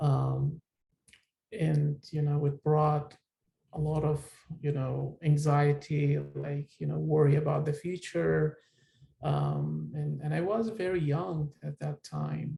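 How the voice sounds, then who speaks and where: A man with an Iraqi accent at a very slow pace. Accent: Iraqi Turkmen accent in English. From northern Iraq. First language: Turkmen. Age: 30s. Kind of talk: personal testimony. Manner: hesitant, many fillers.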